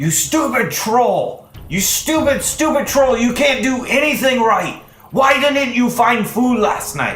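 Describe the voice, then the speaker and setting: In a put-on character voice with extremely high pitch, a man speaks at a fairly slow pace over faint background music. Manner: scolding, shouting.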